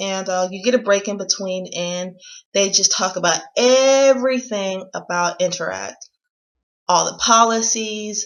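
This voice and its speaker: A woman with an American accent speaks at a fairly slow pace, her medium pitch showing ordinary variation. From United States. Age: 20s. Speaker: vlogger. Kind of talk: casual how-to vlog. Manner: energetic.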